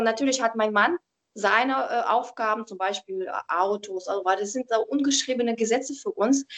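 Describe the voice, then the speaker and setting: Speaking fairly quickly, a woman talks with a Russian accent. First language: Russian (speaking German). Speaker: professional organizer and tidying coach. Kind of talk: interview. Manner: calm, reserved.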